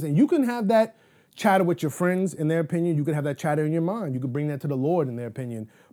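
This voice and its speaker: Recorded very cleanly against a silent background, a man with a New York accent speaks in a dark, mellow tone. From New York City, Manhattan. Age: 30s. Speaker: guest sharing life story. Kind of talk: interview. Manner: casual, frequent fillers.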